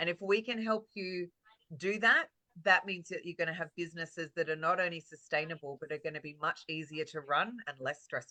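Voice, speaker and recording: In a very dry, close recording with no echo, a woman with an Australian accent speaks fairly quickly in a bright, sharp, fairly low voice with ordinary pitch variation. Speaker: real estate marketing coach. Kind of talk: webinar presentation. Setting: video call. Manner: animated.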